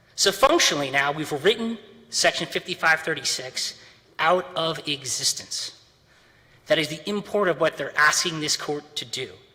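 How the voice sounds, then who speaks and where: A man talks with a fairly high pitch and ordinary pitch variation. Background noise is noticeable. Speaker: attorney. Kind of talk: courtroom oral argument. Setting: courtroom. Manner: fast.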